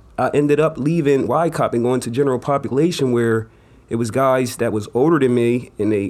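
In an ordinary speaking voice, a man talks at a fairly quick pace with fairly even intonation. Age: 30s. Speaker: community organizer. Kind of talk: panel discussion.

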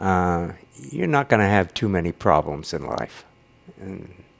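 With an American accent, a man speaks fairly slowly at a very deep, low pitch, his vocal fry paired with lively intonation. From US West (California). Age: 90s. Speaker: grandfather being interviewed. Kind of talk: casual interview, storytelling.

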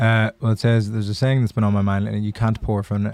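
At a very fast pace, a dark, mellow tone comes through on a very clean recording with a silent background and a dry, close sound with no echo. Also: man. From Ireland. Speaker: comedian and producer. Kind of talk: casual chat. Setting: studio.

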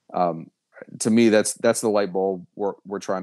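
On a very clean recording with a silent background, a man speaks at a fairly low pitch, the sound dry and close with no echo. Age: 30s. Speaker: college baseball head coach. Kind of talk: interview. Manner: halting.

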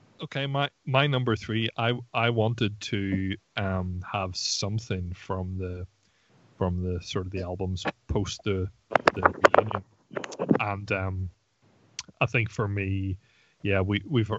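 A man speaks in an ordinary speaking voice, fairly low in pitch, with fairly even intonation. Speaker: podcast co-host. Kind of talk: casual chat.

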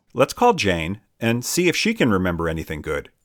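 On a very clean recording with a silent background, a man puts on a croaky character voice at medium pitch and a fairly quick pace. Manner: eerie.

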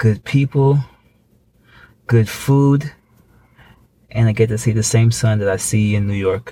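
Man's medium-pitched voice, dark and mellow in tone and somewhat breathy, fairly slow and fairly even, with long, frequent pauses. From Thailand. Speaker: podcast co-host. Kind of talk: casual chat.

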